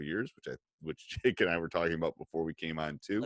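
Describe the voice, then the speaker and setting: Very fast speech with a dry, close sound and no echo, in a very clean recording with a silent background. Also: man. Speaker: teacher, podcast guest.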